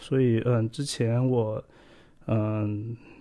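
On a very clean recording with a silent background, a man speaks very slowly in a dark, mellow tone. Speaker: podcast host. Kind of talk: tech tutorial monologue. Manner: halting with many fillers.

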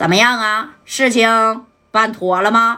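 A woman puts on a strained character voice with a fairly high pitch. She speaks at a fairly slow pace in a flat monotone with very even loudness. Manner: disguised.

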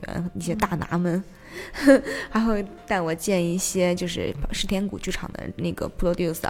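Amid noticeable background noise, a woman talks at a fairly quick pace in a medium pitch. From Xi'an, China. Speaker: theatre project manager. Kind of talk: casual interview chat. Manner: animated, energetic; laughs often.

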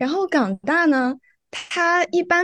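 A woman's voice comes through with a dry, close sound and no echo. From mainland China, not Guangdong. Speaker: law student. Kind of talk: casual interview.

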